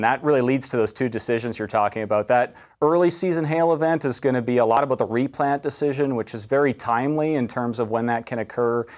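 With a Canadian prairie accent, a man talks at a very fast pace and medium pitch, with ordinary pitch variation. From Canada, southwestern Manitoba. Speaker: university entomology professor. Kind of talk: TV interview.

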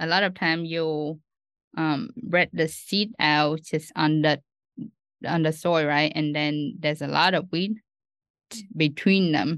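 A woman with a Vietnamese accent, very deep and low in pitch, at a very slow pace with long, frequent pauses and ordinary pitch variation. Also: quiet background. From Vietnam, Ho Chi Minh City. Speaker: doctoral student researcher. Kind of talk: interview.

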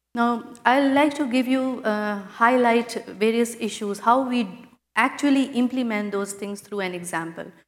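Speaking at a fairly slow pace, a woman shows ordinary pitch variation. Audible room echo surrounds her voice. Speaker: agricultural research project director. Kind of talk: conference panel discussion. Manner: formal.

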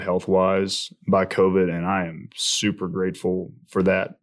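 In a very clean recording with a silent background, a man with a Southern US accent speaks at a moderate pace in a very deep, low pitch. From Alabama. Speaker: agriculture podcast co-host. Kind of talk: casual chat.

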